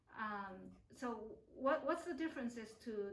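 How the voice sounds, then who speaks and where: Over noticeable background noise and audible room echo, a woman talks at a fairly slow pace with a fairly high pitch. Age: 50s. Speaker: acupuncturist interviewing a client. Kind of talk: interview. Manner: halting, many fillers.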